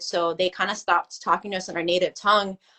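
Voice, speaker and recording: A woman speaks with a Californian accent. She moves at a fairly quick pace. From US West Coast, Los Angeles. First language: Filipino language. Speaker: artist and photographer. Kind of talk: casual podcast interview. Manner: casual, heavy filler words.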